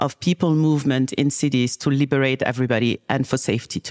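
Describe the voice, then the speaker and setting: On a very clean recording with a silent background, a woman talks at a very fast pace, the sound dry and close with no echo. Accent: West African French. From Senegal, West Africa. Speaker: tech company CEO. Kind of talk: casual interview conversation. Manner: hesitant, many fillers.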